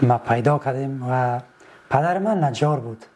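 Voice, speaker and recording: A man's medium-pitched voice at a fairly slow pace, with noticeable background noise. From Afghanistan, Badakhshan (Shahnan district). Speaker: folk singer and musician. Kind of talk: interview. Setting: studio. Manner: halting.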